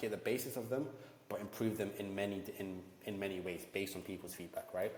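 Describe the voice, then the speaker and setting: Audible room echo surrounds a man's fairly low voice. He speaks at a fairly quick pace. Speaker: ecommerce entrepreneur and YouTuber. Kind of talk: tutorial. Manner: fast; animated.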